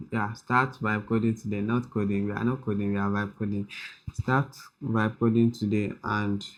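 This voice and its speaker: Pitched fairly low, a man speaks at a moderate pace. His intonation is monotone and flat. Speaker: tech tutorial creator. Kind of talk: tutorial. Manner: soft-spoken.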